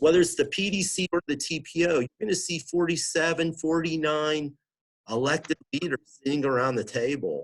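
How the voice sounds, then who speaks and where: The dry, close recording with no echo captures a man speaking at a fairly high pitch. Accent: Pennsylvania. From Southwestern Pennsylvania. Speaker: regional planning director. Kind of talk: interview.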